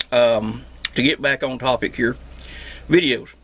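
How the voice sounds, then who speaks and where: A man with a strong Southern Appalachian accent and vocal fry, at a fairly slow pace. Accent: strong Southern Appalachian drawl. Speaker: homesteader and CB radio repairman. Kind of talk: casual vlog monologue. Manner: casual, hesitant with fillers.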